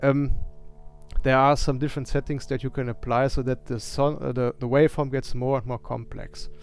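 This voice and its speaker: With music in the background, a man speaks in a German accent at a medium pitch and fairly quick pace, his intonation monotone and flat. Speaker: synth musician and streamer. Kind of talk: live stream setup tour. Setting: live stream. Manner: hesitant, many fillers.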